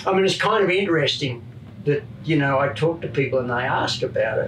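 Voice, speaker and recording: With an Australian accent, a man speaks at a moderate pace, with audible room echo and light background noise. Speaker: retired motorcycle racer and crew chief. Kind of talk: casual chat.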